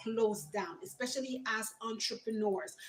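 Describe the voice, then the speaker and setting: Moderate pace and ordinary pitch variation, with noticeable background noise. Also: woman. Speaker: entrepreneur and youth mentor livestreamer. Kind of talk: motivational livestream talk.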